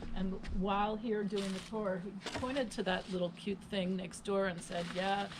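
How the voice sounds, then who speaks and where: A woman speaks at a moderate pace with monotone, flat intonation. There is noticeable background noise. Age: 60s. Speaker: friend and new boat owner. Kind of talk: casual chat. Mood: amused storytelling. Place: boat. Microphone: camera far.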